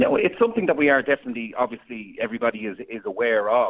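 Here a man talks at a fairly quick pace. He speaks with an Irish accent. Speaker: former radio presenter, farm co-op representative. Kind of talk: radio interview.

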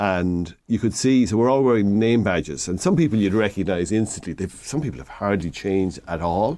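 Over a quiet background, a man with an Irish Midlands accent speaks with hardly any pauses. His fairly low voice has a dark, mellow tone and lively intonation. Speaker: hardware shop owner giving DIY advice. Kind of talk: radio phone-in advice.

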